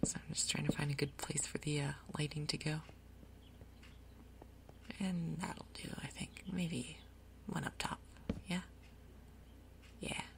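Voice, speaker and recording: A woman whispers at a fairly slow pace. Long pauses come often. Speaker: ASMR creator. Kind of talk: ASMR gaming commentary. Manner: soft-spoken.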